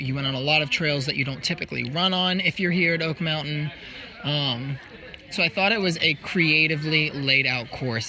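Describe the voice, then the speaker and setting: Fairly high male voice, moderate tempo, noticeable background noise. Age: 20s. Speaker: trail runner. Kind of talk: casual interview.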